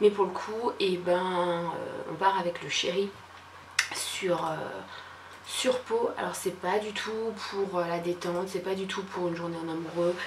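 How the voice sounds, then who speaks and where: Very slow speech with fairly even intonation, audible room echo and noticeable background noise. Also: woman, medium pitch for a woman. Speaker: lifestyle vlogger. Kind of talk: casual vlog monologue. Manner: hesitant, many fillers.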